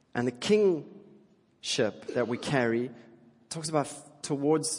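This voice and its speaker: A man talks at a fairly slow pace in a South African accent. His pitch variation is ordinary. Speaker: pastor. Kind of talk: sermon. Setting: church.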